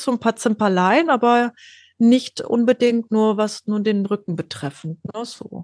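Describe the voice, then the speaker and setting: The woman talks at a fairly slow pace with ordinary pitch variation, and the sound is dry and close with no echo. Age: 40s. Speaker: scoliosis patient sharing her story. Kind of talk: interview, personal story.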